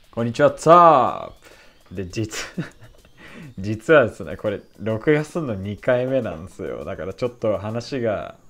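With lively intonation and big swings in loudness, a man speaks at a medium pitch and a fairly slow pace. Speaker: YouTuber on language learning. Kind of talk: casual vlog monologue. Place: home room. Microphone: webcam.

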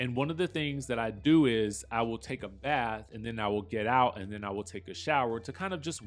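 A man is talking while music plays faintly behind him. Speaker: vlogger. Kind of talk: casual vlog chat. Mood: relaxed, calm. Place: bathroom. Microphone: camera far.

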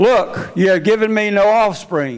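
A man at a very slow pace against a quiet background. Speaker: preacher. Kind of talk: sermon. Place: church. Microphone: headset.

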